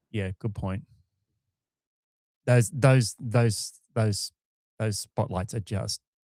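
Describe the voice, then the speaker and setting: In an Australian accent, a man with a fairly low pitch and a dark, mellow tone speaks at a very slow pace, his intonation fairly even and broken by long, frequent pauses, the sound dry and close with no echo. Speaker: launch livestream co-host. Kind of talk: live commentary.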